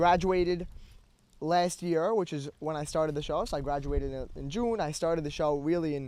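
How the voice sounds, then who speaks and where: A man's fairly high voice in an American accent, at a fairly quick pace with ordinary pitch variation and audible room echo. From US, Brooklyn, New York. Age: 18. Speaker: podcast host being interviewed. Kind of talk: interview. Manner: halting.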